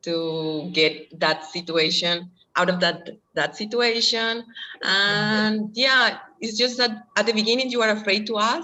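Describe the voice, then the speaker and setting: A woman with a Colombian accent, fairly high-pitched, with lively intonation at a fairly slow pace. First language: Spanish. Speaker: former language student and au pair. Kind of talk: interview. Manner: halting, with fillers.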